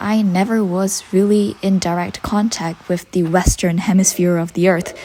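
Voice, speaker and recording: Against noticeable background noise, a woman with a strong Malaysian accent speaks at a medium pitch and a moderate pace, with fairly even intonation and hardly any pauses. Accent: Malaysian, heavy. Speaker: university student vlogger. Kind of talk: reflective vlog narration.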